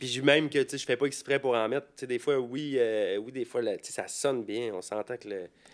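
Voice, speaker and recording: A man with a Quebec accent talks at a fairly quick pace in a medium-pitched voice. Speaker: rapper. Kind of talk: casual chat.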